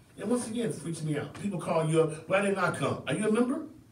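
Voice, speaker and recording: A man talks with an American accent against noticeable background noise. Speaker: community activist and show host. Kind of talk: passionate talk-show monologue. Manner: fiery, preacher-like, emphatic.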